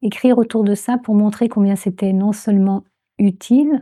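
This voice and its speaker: A woman speaks very slowly with a dark, mellow voice at medium pitch and fairly even intonation. The recording is very clean, with a silent background. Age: 70s. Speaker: transpersonal psychology trainer. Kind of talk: interview answer.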